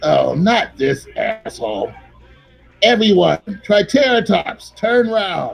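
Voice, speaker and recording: The speaker uses a put-on character voice with a fairly high pitch. The pace is very slow. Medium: actual play. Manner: annoyed, scornful.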